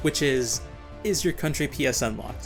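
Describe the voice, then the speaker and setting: A man speaks with music playing in the background. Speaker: gaming YouTuber. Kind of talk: comedic game review narration. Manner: dry, sarcastic.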